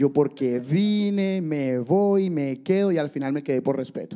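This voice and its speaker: In a Caribbean Colombian accent, the voice has a dark, mellow tone, lively intonation and a fairly slow pace. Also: man. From Barranquilla, Colombia. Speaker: churchgoer sharing testimony. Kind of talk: testimony.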